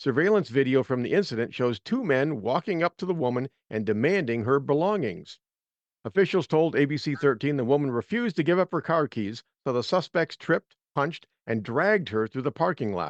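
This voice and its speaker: A man with an American accent talks at a fairly quick pace with lively intonation and a fairly high pitch. The sound is dry and close with no echo, over a quiet background. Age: 60s. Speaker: radio host, Marine veteran, author. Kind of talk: talk radio show. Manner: animated.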